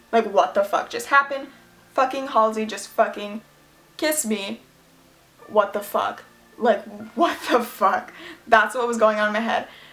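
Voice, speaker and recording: A woman with an American accent and a fairly high pitch at a moderate pace, with long, frequent pauses and music in the background. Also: ordinary pitch variation. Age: young. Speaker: YouTuber. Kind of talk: casual storytime talk to camera.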